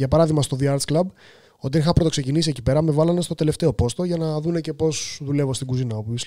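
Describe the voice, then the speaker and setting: The voice has a dark, mellow tone and races along at a very fast pace against a quiet background. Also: man. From Greece. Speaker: professional chef; podcast guest. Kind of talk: casual chat. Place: studio. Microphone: studio mic.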